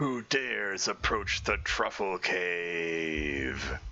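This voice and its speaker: The speaker uses a put-on character voice. Delivery is very slow, with very wide pitch swings. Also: man, very deep, low pitch for a man. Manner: menacing, booming.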